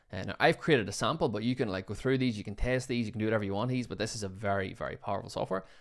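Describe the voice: A man talks at a very fast pace with a fairly low pitch and vocal fry. His pitch varies in an ordinary way.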